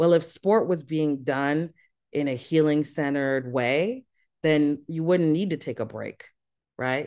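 A woman's quiet-background voice with an American accent, a dark, mellow tone, a very deep, low pitch and fairly even intonation. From US, daughter of Haitian refugee. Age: 30s. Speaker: sport for development activist and nonprofit director. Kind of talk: interview.

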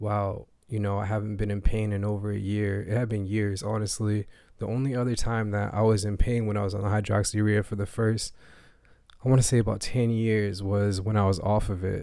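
The voice has a dark, mellow tone and a monotone, flat intonation, delivered at a fairly quick pace in a very clean recording with a silent background. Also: man, fairly low pitch for a man. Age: 30s. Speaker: podcast host. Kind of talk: casual monologue. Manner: casual.

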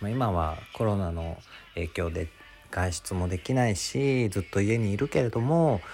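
The voice is somewhat breathy, with lively intonation at a fairly slow pace. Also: man, fairly low pitch for a man. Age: 20s. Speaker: podcast host, office worker. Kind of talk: casual solo monologue. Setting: home. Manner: animated.

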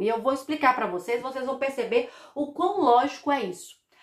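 Over noticeable background noise, a woman with a high pitch and an animated tone speaks at a moderate pace with ordinary pitch variation. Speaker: podcast host on family constellation therapy. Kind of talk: casual monologue about songs.

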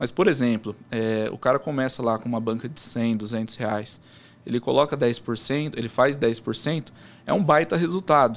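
A man talks at a fairly slow pace in a normal speaking voice, with medium pitch and ordinary pitch variation. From São Paulo interior, Americana. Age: 20s. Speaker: sports betting trader. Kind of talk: casual interview.

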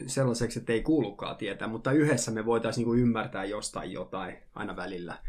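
Fairly even intonation marks this voice as it races along at a very fast pace. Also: man. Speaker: youth worker, former substance abuser. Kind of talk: casual discussion. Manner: halting, many filler words.

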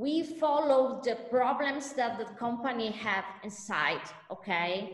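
The speech comes at a very slow pace in an Italian accent, with lively intonation. Audible room echo is present. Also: woman, high pitch for a woman. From Italy. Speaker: lawyer. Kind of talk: interview. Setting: video call. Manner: halting.

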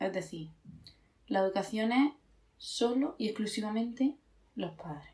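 Her fairly high voice carries lively intonation as the woman speaks. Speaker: podcast co-host. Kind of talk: casual chat.

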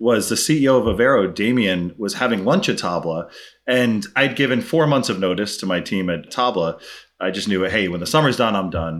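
Speaking at a fairly quick pace with lively intonation, this is a normal speaking voice with an American accent. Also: man. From US Northeast, Brooklyn, New York. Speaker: tech startup CEO. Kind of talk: interview. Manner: casual.

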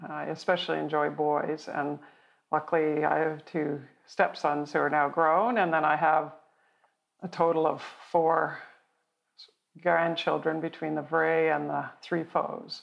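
Speaking at a fairly slow pace with long, frequent pauses, a woman with a Canadian accent uses a very deep, low pitch, monotone, flat intonation and vocal fry. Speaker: military college graduate, engineer. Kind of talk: interview.

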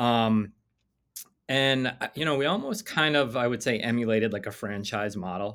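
A man speaks in a normal speaking voice. His pitch is medium, with ordinary variation. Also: moderate pace. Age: 40s. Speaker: attorney and entrepreneur. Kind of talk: interview.

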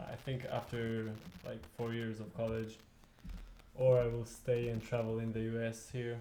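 Audible room echo surrounds a dark, mellow tone. The delivery is monotone and flat, with long, frequent pauses. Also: man, medium pitch for a man, fairly slow pace. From Israel (Tel Aviv). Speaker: beach tennis player. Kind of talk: casual chat. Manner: halting.

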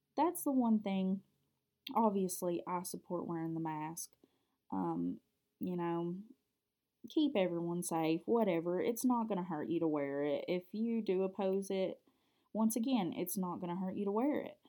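A woman's dark, mellow voice with a Kentucky accent, medium pitch, lively intonation, a moderate pace and long, frequent pauses. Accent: Southern US (Kentucky). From Kentucky, US. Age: 20s. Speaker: podcast host and college student. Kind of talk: casual solo podcast monologue. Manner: chatty, talkative, somewhat hesitant with filler words.

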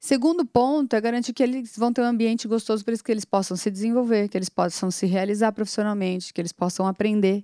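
A woman's fairly high, dark and mellow voice at a very fast pace, dry and close with no echo, on a very clean recording with a silent background. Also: ordinary pitch variation. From São Paulo city, Brazil. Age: 40s. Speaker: agribusiness executive. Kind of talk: casual interview.

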